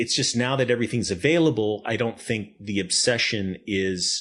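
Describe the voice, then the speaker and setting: This man's voice sits fairly low in pitch with ordinary pitch variation. He talks at a moderate pace. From northern New Jersey. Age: 60s. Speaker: animation director and producer. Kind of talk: podcast interview. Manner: halting.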